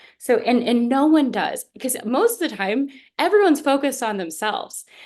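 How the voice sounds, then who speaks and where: Speaking at a fairly quick pace, a woman uses lively intonation. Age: 20s. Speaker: youth activist and panelist. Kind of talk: panel discussion. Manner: fast.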